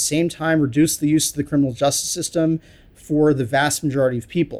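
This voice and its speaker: A man's normal speaking voice with an American accent, fairly high pitch and ordinary pitch variation, at a fairly quick pace on a very clean recording with a silent background. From US, New York City. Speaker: criminology professor. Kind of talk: interview about research.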